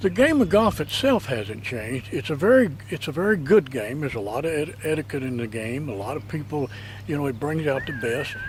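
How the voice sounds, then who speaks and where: A fairly high-pitched man talks at a fairly quick pace with hardly any pauses and lively intonation. Noticeable background noise runs underneath. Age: 70s. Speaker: retired golfer. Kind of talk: interview.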